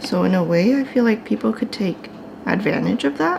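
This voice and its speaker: A soft-spoken woman at medium pitch, amid noticeable background noise. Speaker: art vlogger. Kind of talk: casual vlog chat. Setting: at home.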